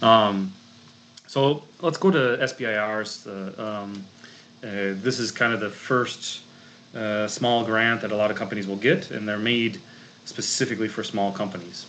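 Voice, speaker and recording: A man with a strong Minnesotan accent speaks fairly low at a moderate pace with ordinary pitch variation. Audible room echo and noticeable background noise surround him. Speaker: grant consultant and chemist. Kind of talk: presentation talk. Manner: many fillers and restarts.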